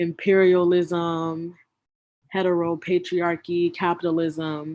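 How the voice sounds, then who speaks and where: A woman with an American accent speaks very slowly at a fairly low pitch, with a dark, mellow tone against a quiet background. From US South. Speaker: community organizer, workshop facilitator. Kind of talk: online workshop presentation.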